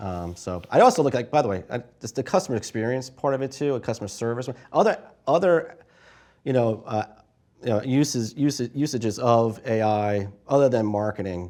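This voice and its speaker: Speaking with a New York accent at a fairly quick pace, a man uses a dark, mellow tone at medium pitch with ordinary pitch variation. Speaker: marketing analytics panelist. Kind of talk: panel discussion. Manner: fast.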